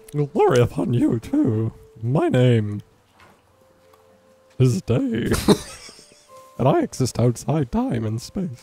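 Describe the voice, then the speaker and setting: A man speaks at a fairly slow pace in a medium pitch, with long, frequent pauses and faint music in the background. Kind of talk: heroic fantasy greeting, comic. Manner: grandiose, oddly self-important.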